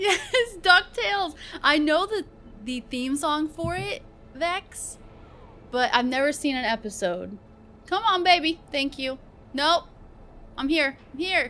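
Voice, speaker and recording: Speaking at a very slow pace with long, frequent pauses, a woman uses a raised, projected voice that is high-pitched, bright and sharp, with very wide pitch swings. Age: 30s. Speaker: streamer. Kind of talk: casual live-stream chat and reaction. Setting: live stream. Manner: animated.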